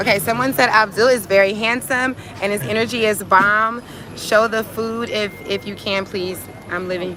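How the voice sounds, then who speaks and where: A woman with a fairly high pitch and an animated tone at a moderate pace, over noticeable background noise. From United States. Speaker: vlogger. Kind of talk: livestream vlog.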